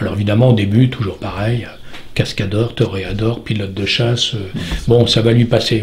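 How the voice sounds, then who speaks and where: A fairly quick pace marks this clip. The speaker is a man. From southern France. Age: 60s. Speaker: stuntman. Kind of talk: interview answer. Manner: talkative.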